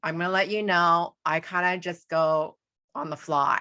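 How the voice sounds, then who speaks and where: At a fairly slow pace, a woman speaks in a monotone, flat intonation with a bright, sharp tone and fairly low pitch against a quiet background. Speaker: astrologer. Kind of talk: tutorial.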